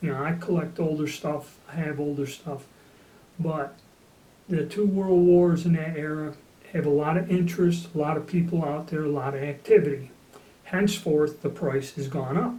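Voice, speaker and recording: An unremarkable speaking voice, a man with an American accent, fairly high in pitch, at a moderate pace with fairly even intonation. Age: 60s. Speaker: gun collector. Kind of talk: casual talk to camera. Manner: casual, with fillers.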